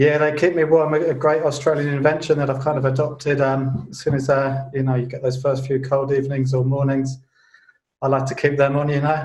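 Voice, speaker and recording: A man with a British accent speaks at a fairly high pitch, somewhat breathy and monotone, with audible room echo. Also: fairly quick pace. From UK (England, London). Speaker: financial journalist. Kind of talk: interview.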